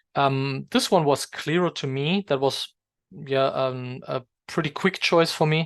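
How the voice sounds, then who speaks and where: A man speaks in a fairly high pitch with a non-native accent. The sound is dry and close, with no echo, and the background is quiet. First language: not English. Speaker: English exam teacher. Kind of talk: tutorial. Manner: hesitant, many fillers.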